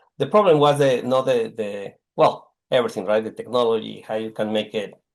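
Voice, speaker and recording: Using a Mexican accent, a man speaks at a moderate pace with ordinary pitch variation. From Mexico. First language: Spanish. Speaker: technology executive. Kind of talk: casual interview.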